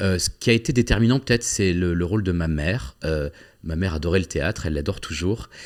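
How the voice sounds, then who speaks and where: A man's very deep, low voice at a very fast pace with lively intonation, in a very clean recording with a silent background. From southwest France (Agen). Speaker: actor and playwright. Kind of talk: interview. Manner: hesitant, many fillers and repetitions.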